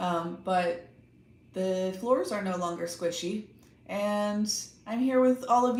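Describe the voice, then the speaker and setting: Someone with a Texan accent speaks at a very slow pace with ordinary pitch variation, amid audible room echo. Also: woman. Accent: Texan American English. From Texas, Austin. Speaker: tarot reader / livestream host. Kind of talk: casual livestream chat.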